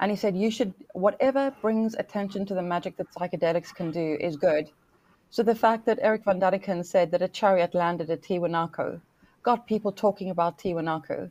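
In a quiet background, a woman with a plain, everyday voice speaks at a fairly quick pace, her medium pitch showing ordinary pitch variation. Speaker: guest co-reviewer. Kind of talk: casual chat.

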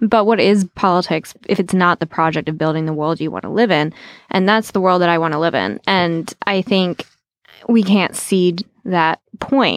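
A woman with an American accent talks in a normal speaking voice, fairly low in pitch with ordinary pitch variation. The sound is dry and close, with no echo. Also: moderate pace. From Southwest Virginia. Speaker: social media editor. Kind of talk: casual chat.

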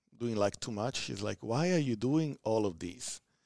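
A man's dry, close voice with an Italian accent, no echo, moderate pace and ordinary pitch variation, on a very clean recording with a silent background. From southern Italy. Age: 30s. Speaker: community organization leader. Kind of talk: podcast interview. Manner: energetic.

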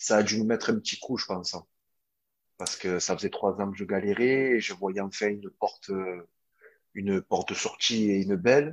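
A man talks at a moderate pace with a fairly low pitch. His intonation stays fairly even, broken by long, frequent pauses. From Marseille, southern France. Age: 20s. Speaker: footballer. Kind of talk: interview. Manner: halting.

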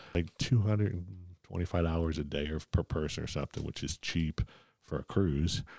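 A man with an American accent talks at a fairly quick pace in a very deep, low voice with a dark, mellow tone and ordinary pitch variation, and the sound is dry and close with no echo. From US Northeast (Philadelphia). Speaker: cancer survivor and amateur joke teller. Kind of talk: casual chat.

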